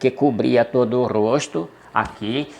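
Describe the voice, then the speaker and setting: Here is an unremarkable speaking voice moving at a fairly slow pace. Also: man. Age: 60s. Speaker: storyteller. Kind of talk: personal storytelling. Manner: conversational, addressing viewers.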